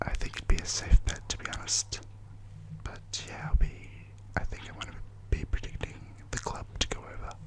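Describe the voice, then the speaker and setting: A man whispers at a moderate pace, with long, frequent pauses. His loudness swings widely, and there is noticeable background noise. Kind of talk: ASMR wrestling predictions, casual talk to camera. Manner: whispered.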